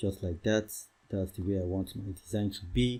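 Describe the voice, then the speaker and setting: Dark, mellow male voice, somewhat breathy, at a moderate pace in a very clean recording with a silent background. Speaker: YouTube design tutor. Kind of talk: tutorial.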